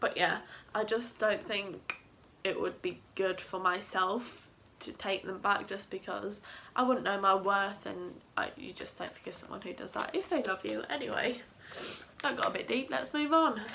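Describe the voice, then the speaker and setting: A woman with a Southeast English accent, medium pitch, lively intonation, big swings in loudness and a moderate pace. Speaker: mum vlogger. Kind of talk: casual talk to camera.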